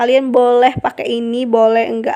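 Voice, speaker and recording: A woman with a high voice talks fairly slowly. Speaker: cooking channel host. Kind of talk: cooking tutorial. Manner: casual, chatty.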